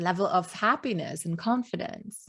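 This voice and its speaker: At a fairly slow pace, a woman speaks in a fairly low pitch with a Luxembourgish accent. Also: very clean recording, silent background. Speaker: podcast host, business coach. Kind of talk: interview.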